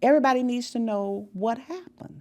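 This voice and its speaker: A woman with an American accent talks at a moderate pace, her intonation lively. She has a plain, everyday voice. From US South, Memphis, Tennessee. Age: 60s. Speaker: school integration pioneer. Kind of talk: oral history conversation.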